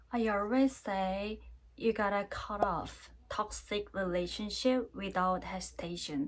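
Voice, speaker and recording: In a Korean accent, a woman speaks at a fairly slow pace. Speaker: vlogger, university career advisor. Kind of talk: casual vlog talk to camera. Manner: halting, many fillers.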